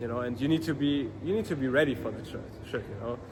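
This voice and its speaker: A man's medium-pitched voice with a non-native accent and ordinary pitch variation, music in the background. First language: not English. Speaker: vlogger, dropshipping entrepreneur. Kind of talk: casual vlog monologue. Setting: outdoors. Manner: halting, many fillers and restarts.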